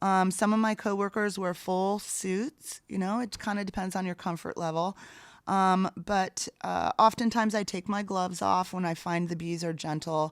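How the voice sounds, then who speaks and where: A woman speaks at medium pitch and a moderate pace in a very clean recording with a silent background and a dry, close sound with no echo. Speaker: bee removal specialist. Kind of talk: interview. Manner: enthusiastic.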